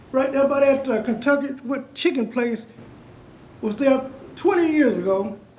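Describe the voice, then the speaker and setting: With noticeable background noise behind him, a man with an extremely high-pitched voice speaks at a moderate pace, using ordinary pitch variation and long, frequent pauses. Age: 60s. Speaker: resident speaking at public meeting. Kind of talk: public comment at city meeting. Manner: animated.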